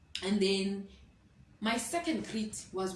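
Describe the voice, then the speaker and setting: An animated tone comes through with audible room echo. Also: woman. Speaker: student teacher vlogger. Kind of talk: casual vlog storytelling. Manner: animated, code-switching.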